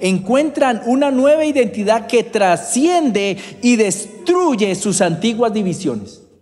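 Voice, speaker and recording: Very wide pitch swings run through a man's speech at a very slow pace. Audible room echo and noticeable background noise surround him. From Colombia, Bogotá. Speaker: preacher. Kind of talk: sermon.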